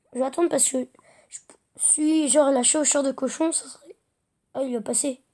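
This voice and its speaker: Speaking at a moderate pace, a woman uses a high pitch and a dark, mellow tone, her intonation monotone and flat. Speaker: gaming youtuber. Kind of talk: gameplay commentary. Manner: hesitant, many fillers.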